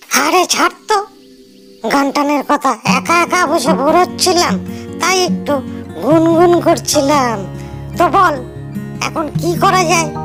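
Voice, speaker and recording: Clear music plays behind a cartoonish character voice that moves at a moderate pace. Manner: hesitant, worried.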